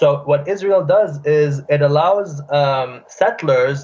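Here a man speaks with a fairly high pitch. His voice is somewhat breathy. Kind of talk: casual phone conversation. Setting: phone call.

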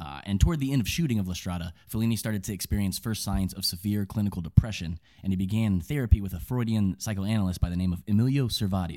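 A man's dark, mellow voice, fairly low in pitch, very fast with hardly any pauses and ordinary pitch variation. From Kentucky. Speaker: film podcast co-host. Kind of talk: casual chat.

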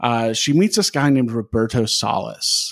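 A man with an American accent and an ordinary speaking voice talks at a fairly slow pace with ordinary pitch variation. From Wisconsin. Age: 30s. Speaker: podcast host and stand-up comedian. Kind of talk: casual chat.

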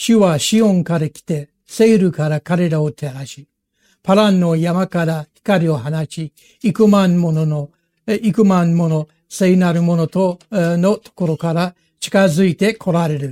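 This man's high-pitched voice has a dark, mellow tone, ordinary pitch variation and big swings in loudness, captured with a dry, close sound and no echo. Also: fairly slow pace. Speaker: pastor. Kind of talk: sermon. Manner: halting.

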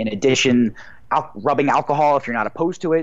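A man talks at a very fast pace. He has an American accent. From New Jersey, New York City area. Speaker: cannabis accessory company co-founder, former pro golfer. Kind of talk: interview. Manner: filler-heavy, with hesitations.

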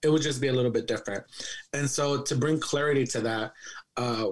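A man with a plain, everyday voice talks at a fairly quick pace, his fairly high pitch showing ordinary pitch variation. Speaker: podcast co-host. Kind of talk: casual chat.

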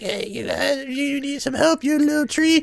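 High, fairly slow speech in a put-on character voice. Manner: helpful, friendly.

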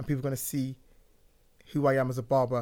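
On a very clean recording with a silent background, a man with a London accent talks very fast at a fairly high pitch. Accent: London English (Multicultural London English). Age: 30s. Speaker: barber. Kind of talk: casual chat. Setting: studio.

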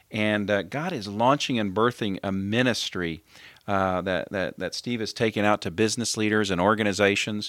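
In a very clean recording with a silent background, an unremarkable speaking voice keeps a moderate pace. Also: man, fairly low pitch for a man, fairly even intonation. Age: 50s. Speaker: podcast host. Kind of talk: interview; show intro and outro.

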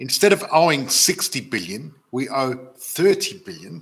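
Speaking with an Australian accent, a man uses lively intonation. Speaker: property investment educator and live show host. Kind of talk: live stream webinar. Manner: animated.

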